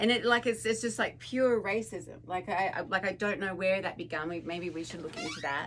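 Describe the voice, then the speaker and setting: A woman's medium-pitched voice in an Australian accent, fairly quick with hardly any pauses and lively intonation, over noticeable background noise. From Tasmania, Australia. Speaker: podcast co-host. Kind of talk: casual chat.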